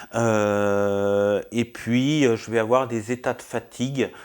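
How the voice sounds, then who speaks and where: On a very clean recording with a silent background, a man speaks at a medium pitch. His pitch varies in an ordinary way. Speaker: YouTuber vlogger. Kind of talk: personal health update vlog. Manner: loud; hesitant, many fillers. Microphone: new wireless mic.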